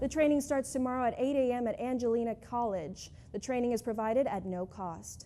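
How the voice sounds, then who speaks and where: High-pitched woman's voice, dark and mellow, at a fairly quick pace with hardly any pauses and ordinary pitch variation. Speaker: news reporter. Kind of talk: TV news report.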